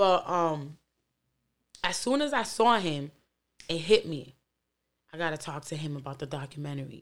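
Against a silent background in a very clean recording, a woman with a very deep, low pitch speaks at a moderate pace with ordinary pitch variation, long, frequent pauses and big swings in loudness. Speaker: podcast host. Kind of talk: casual podcast commentary.

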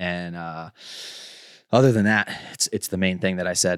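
Speech comes at a fairly quick pace, with a dry, close sound with no echo and a very clean recording over a silent background. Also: man. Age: 30s. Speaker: snowboarding podcast host. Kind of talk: casual chat. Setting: studio. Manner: animated.

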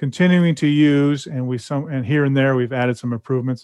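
At a very fast pace, a man with an American accent talks in a fairly high pitch with fairly even intonation. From California. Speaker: hearing aid company representative. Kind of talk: casual interview.

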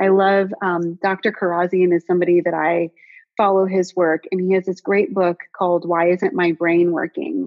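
A woman speaks in a normal speaking voice at a moderate pace. Her pitch is medium and her intonation fairly even. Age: 30s. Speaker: functional health coach. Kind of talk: interview.

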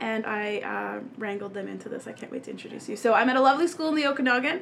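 Animated in tone, a woman moves at a fairly quick pace with lively intonation. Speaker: podcast host. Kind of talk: casual chat.

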